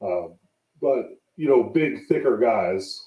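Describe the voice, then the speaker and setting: A man speaks at a medium pitch. He has an American accent. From San Jose, California. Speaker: former basketball player and pro wrestler. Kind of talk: casual chat.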